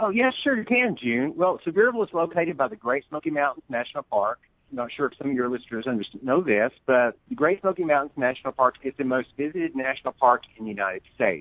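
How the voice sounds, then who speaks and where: The speaker has a Southern US accent and a very fast pace with hardly any pauses. Pitch swings are very wide. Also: man, fairly high pitch for a man. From US South, East Tennessee. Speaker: tourism promoter. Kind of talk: radio interview.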